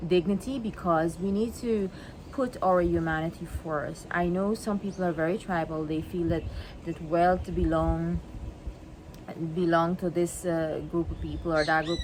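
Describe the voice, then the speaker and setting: A woman with a fairly low pitch talks fairly slowly, her pitch varying in an ordinary way. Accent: Guyanese. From Guyana. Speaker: vlogger. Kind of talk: monologue to camera. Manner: halting, many repetitions.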